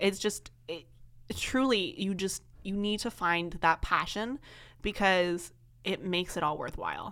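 A woman with a Canadian accent speaks at a moderate pace and a medium pitch. Her tone is animated, bright and sharp. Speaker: student reporter. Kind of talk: casual chat. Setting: studio.

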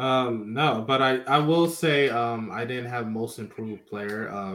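Using an ordinary speaking voice with an American accent, a man talks at medium pitch and a moderate pace with lively intonation. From Philadelphia. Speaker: sports podcast co-host. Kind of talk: casual chat.

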